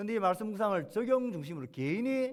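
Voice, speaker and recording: A man is talking. His voice leaps between very high and very low notes. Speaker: pastor. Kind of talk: sermon.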